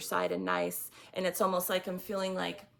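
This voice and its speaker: A woman speaks in a shaky voice. Her pace is fairly quick. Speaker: tarot reader. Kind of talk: tarot reading monologue. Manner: halting.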